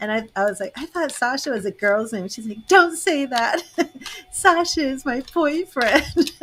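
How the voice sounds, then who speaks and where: A woman's high voice with an American accent, fairly slow and swinging very widely in pitch, against noticeable background noise. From Boston, Massachusetts. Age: 50s. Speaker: tarot reader and psychic medium. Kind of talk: casual chat.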